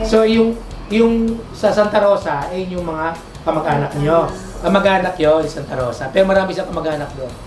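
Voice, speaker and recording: Music plays in the background as a woman speaks at a medium pitch and moderate pace with lively intonation. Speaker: online radio host and interviewer. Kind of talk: interview questions.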